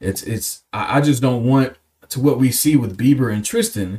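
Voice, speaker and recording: This man sounds somewhat breathy and speaks with an American accent. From Cleveland, Ohio. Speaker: podcast host. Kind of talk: casual chat.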